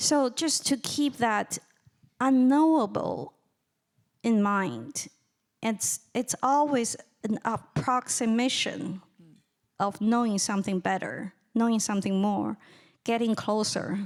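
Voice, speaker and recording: A woman with a Chinese accent talks at a very slow pace in a fairly high pitch, keeping her loudness very even and leaving long, frequent pauses. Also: ordinary pitch variation. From China. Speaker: writer and lecturer. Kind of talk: audience Q&A answer. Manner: halting, repetitive starts.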